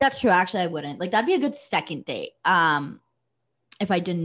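Her voice is an ordinary speaking voice, medium in pitch for a woman, with lively intonation. She keeps a moderate pace on a very clean recording with a silent background. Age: 20s. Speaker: podcast co-host. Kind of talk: casual chat.

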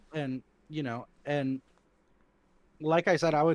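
A man's fairly high voice, an unremarkable speaking voice, with an American accent, fairly even intonation, a dry, close sound with no echo and a quiet background. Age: 20s. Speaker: laser tag player. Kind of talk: casual chat.

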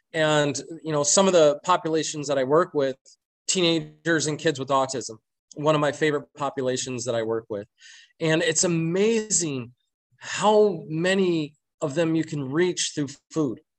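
A man talks in an ordinary speaking voice with an American accent. His pitch is fairly high, with ordinary pitch variation. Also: moderate pace. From Michigan, Flint. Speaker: pastry chef. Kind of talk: casual interview.

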